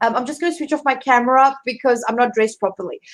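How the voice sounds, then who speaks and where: A woman's high voice with a strong South African accent. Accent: heavy South African. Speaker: career coach. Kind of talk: live online interview. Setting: video call livestream. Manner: hesitant, many fillers.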